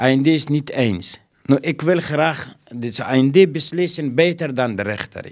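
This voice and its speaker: The background is quiet. A man speaks at a very slow pace. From Afghanistan. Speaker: school caretaker and refugee. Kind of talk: interview; interview answer. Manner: halting. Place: office. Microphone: handheld.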